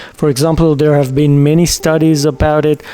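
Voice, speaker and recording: Over music in the background, a man speaks in a fairly high voice. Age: 40s. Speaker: entrepreneur and online business vlogger. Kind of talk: casual direct-to-camera talk. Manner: casual with fillers and repetitions.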